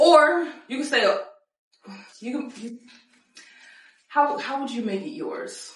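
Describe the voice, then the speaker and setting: A woman speaks at a very slow pace with long, frequent pauses, her high pitch swinging very widely. Her loudness rises and falls sharply, and the room echo is audible. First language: French. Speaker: podcast host. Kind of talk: casual interview.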